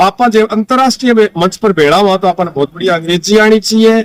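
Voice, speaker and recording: A man is speaking with ordinary pitch variation. The sound is dry and close, with no echo. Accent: Rajasthani. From Rajasthan. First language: Rajasthani (speaking Hindi). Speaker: writer and language activist. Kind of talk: interview. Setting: outdoors at a farm fair.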